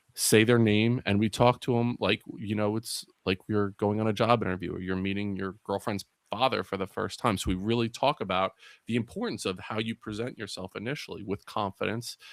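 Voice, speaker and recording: A man speaks at a fairly quick pace in a fairly low pitch with monotone, flat intonation. The recording is very clean, with a silent background. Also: dry, close sound with no echo. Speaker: youth mentor and educator. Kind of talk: podcast interview. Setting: live broadcast. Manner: casual, conversational.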